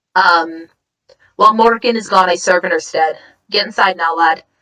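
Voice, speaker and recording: A put-on character voice, raspy and female-sounding, at medium pitch for a woman and a moderate pace. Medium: actual play. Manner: brisk, authoritative.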